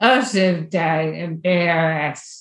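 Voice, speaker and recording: A woman speaks with an American accent. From Lehigh Valley, Pennsylvania. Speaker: person living with ALS, caregiver. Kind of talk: casual interview chat.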